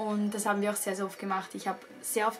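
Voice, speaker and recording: The talking goes along at a fairly quick pace. Behind it, music can be heard. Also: woman. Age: young. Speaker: YouTuber. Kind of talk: vlog talking to camera.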